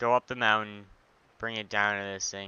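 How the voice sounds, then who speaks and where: Soft-spoken and fairly low in pitch, a man talks at a moderate pace over noticeable background noise. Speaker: gaming YouTuber. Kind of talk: let's play commentary. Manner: soft-spoken, mic set low; casual, filler-heavy. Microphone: headset mic without pop filter, placed at chin, breathing noise.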